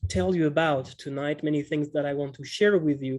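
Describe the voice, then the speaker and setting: A man's fairly high-pitched voice with a French accent. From France, Montpellier. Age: 30s. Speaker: economics teacher. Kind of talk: online webinar workshop. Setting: video call webinar. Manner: slow; halting, many fillers.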